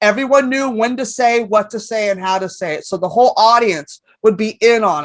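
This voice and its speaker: Animated and fairly quick, a woman with a New York accent speaks at a fairly high pitch, with ordinary pitch variation and big swings in loudness. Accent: New York-sounding. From San Francisco, California. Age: 50s. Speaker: comedian. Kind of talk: casual chat. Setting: stage with audience.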